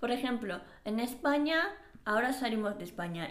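With audible room echo and noticeable background noise, the speaker uses lively intonation in a Japanese accent. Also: woman. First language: Japanese (speaking Spanish). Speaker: podcast co-host. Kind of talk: casual chat. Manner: halting.

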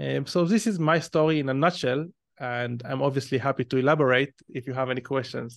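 Over a quiet background, a man with an Israeli accent talks at a fairly quick pace, his medium pitch showing ordinary variation. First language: Hebrew. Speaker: entrepreneur and growth marketer. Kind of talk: interview.

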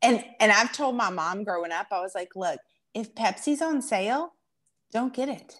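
A woman's fairly high, lively voice at a moderate pace, with a Southern US accent. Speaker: podcast host. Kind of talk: casual chat.

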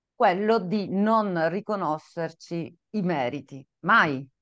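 A woman with a fairly low voice talks against a quiet background. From Sicily, Italy. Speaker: consultant, coach and podcast co-host. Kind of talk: casual interview answers. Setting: video call from office.

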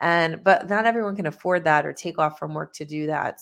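A woman with a Northeastern US accent speaks at a fairly quick pace in a very deep, low pitch. Her pitch varies in an ordinary way against a quiet background. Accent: Northeast US, tri-state. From US Northeast, tri-state area. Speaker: business CEO, author, speaker. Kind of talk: interview conversation. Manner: passionate, excited.

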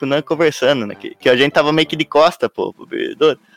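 A man is heard with a dry, close sound that has no echo. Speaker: podcast co-host. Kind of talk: casual chat.

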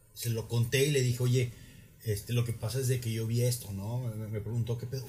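With a Mexican accent, a man of medium pitch talks at a fairly quick pace, with audible room echo and music in the background. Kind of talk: casual chat.

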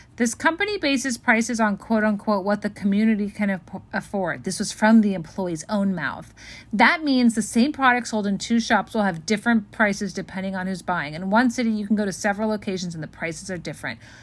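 A woman with an American accent speaks at a fairly quick pace, sounding somewhat breathy. The recording is very clean, with a silent background. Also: medium pitch for a woman, ordinary pitch variation. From Los Angeles. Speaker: podcast co-host. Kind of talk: casual chat.

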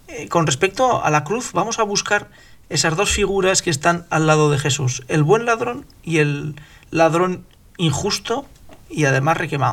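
A man with a high voice speaks fairly slowly, his intonation lively. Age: 50s. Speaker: podcast host. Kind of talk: religious discussion.

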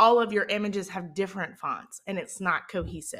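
Animated in tone, a woman with a Mississippi accent speaks at a moderate pace. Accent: Southern Mississippi. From US South, Mississippi. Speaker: podcast host, social media marketer. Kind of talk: solo podcast tutorial.

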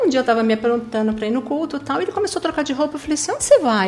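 Talking at a very fast pace, a woman with a high voice uses lively intonation over noticeable background noise. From Paraná interior, then São Paulo state from age 10. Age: 50s. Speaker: church youth coordinator. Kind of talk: testimony.

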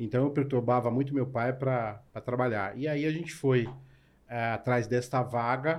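At a fairly slow pace, a man speaks in an ordinary speaking voice with medium pitch and fairly even intonation. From São Paulo, Brazil. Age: 40s. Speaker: chef. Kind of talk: casual interview chat.

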